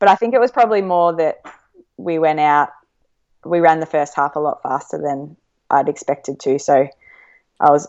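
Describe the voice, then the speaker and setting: With an Australian accent, a woman speaks at a moderate pace in a very deep, low voice. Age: 30s. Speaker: professional runner. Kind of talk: casual interview chat. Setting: remote call.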